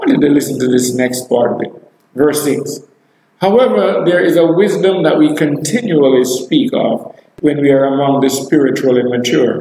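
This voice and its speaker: A man talks at a fairly high pitch and a moderate pace, with ordinary pitch variation. Audible room echo and light background noise are present. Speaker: preacher. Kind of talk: live online sermon, preaching and prayer. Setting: live video stream. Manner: animated, exclamatory, fervent; rhetorical, repeats phrases for emphasis. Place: church.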